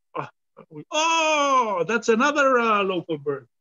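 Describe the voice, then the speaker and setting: A man with an Israeli accent at a very slow pace, in a dry, close sound with no echo. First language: Hebrew. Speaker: bird ringer and guide. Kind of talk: live outdoor demonstration. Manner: halting.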